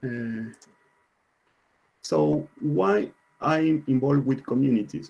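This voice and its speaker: Very slow and marked by long, frequent pauses, a man with a non-native accent speaks at a medium pitch in a dark, mellow tone with lively intonation. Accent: non-native English pronunciation. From Argentina. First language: Spanish. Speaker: IT consultant and conference speaker. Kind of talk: conference talk. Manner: halting, many fillers and repetitions.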